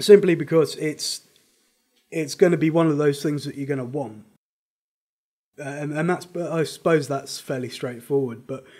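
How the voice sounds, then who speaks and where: This man has a dark, mellow tone and a British accent. He talks at a moderate pace with fairly even intonation and long, frequent pauses. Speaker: gaming guide presenter. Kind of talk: casual game guide talk.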